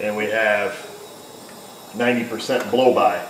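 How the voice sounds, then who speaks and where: Audible room echo and light background noise surround a man speaking in a monotone, flat intonation. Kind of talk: tutorial. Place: garage. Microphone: phone near.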